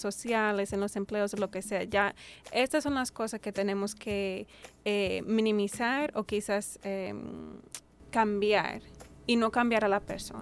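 A woman speaks in an ordinary speaking voice at a medium pitch, with fairly even intonation and a fairly slow pace, on a very clean recording with a silent background. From United States. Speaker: doctoral researcher. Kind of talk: panel discussion.

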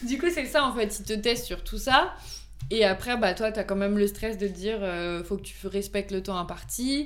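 With vocal fry in her voice, a woman talks at a medium pitch and moderate pace with ordinary pitch variation. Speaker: volunteer firefighter and amateur pastry baker. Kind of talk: casual chat.

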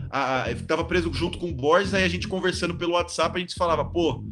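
Noticeable noise sits in the background. Over it, a man talks at a fairly quick pace. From Brazil, São Paulo state (São Bernardo). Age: 20s. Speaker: professional handball player. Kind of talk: casual interview.

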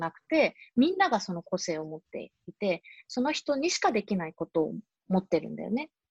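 In a dry, close sound with no echo, a somewhat breathy woman at medium pitch ranges through very wide pitch swings. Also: big swings in loudness. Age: 30s. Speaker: fashion company owner and climate activist. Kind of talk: casual interview chat. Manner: many hesitation fillers.

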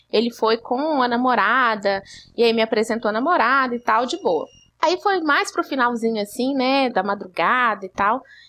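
A woman's bright, sharp, high-pitched voice at a moderate pace, on a very clean recording with a silent background. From Belo Horizonte, Brazil. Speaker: podcast host. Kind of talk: casual chat.

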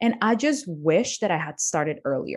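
A woman speaks with a Spanish accent at a medium pitch. The background is quiet. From Colombia. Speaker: business coach. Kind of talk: interview.

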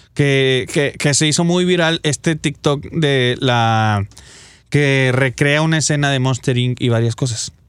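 A man talks at a fairly slow pace, his loudness very even and his pitch variation ordinary. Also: fairly high pitch for a man. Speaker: radio host. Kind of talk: casual chat. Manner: animated.

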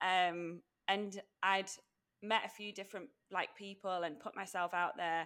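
Speaking at a fairly slow pace with long, frequent pauses, a woman uses a medium pitch, a bright, sharp tone and fairly even intonation. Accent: English. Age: 30s. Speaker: podcast co-host, life coach. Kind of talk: casual chat.

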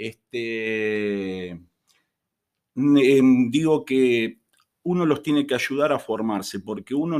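The man's pitch shows ordinary variation as he talks. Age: 50s. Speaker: chemistry teacher. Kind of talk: casual interview.

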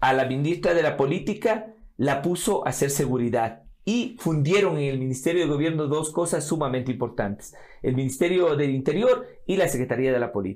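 A man with an ordinary speaking voice, fairly high-pitched, at a fairly quick pace with lively intonation. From Ecuador, Riobamba (Andean highlands). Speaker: politician and lawyer. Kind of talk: interview.

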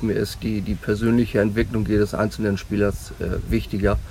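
A man's fairly low voice at a moderate pace, under noticeable background noise. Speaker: youth handball coach. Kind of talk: interview. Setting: outdoors on a ship.

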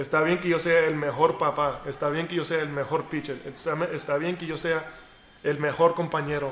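Speaking at a moderate pace, a man keeps a fairly high pitch for a man and a monotone, flat intonation. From United States. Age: 30s. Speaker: professional baseball pitcher. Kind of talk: interview. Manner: halting.

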